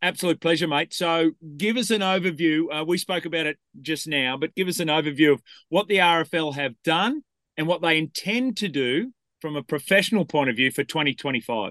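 A man speaks with an Australian accent at a fairly high pitch. The background is quiet, and the sound is dry and close with no echo. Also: ordinary pitch variation, moderate pace. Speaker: sports radio host. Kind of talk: talk radio chat. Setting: radio studio. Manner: animated.

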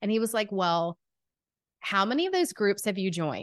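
Over a quiet background, a woman talks in an animated tone at a medium pitch. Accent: strong Southern US. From US South, Atlanta, Georgia. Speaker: podcast host and business coach. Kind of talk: casual interview chat.

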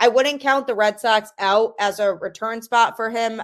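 Using an ordinary speaking voice, a woman with a fairly high pitch talks at a fairly slow pace with ordinary pitch variation. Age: adult. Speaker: sports podcast host. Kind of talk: solo sports podcast commentary.

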